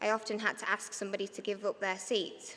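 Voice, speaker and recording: A woman with a Yorkshire accent speaks at a moderate pace in a bright, sharp tone. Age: 30s. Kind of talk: prepared speech read from notes.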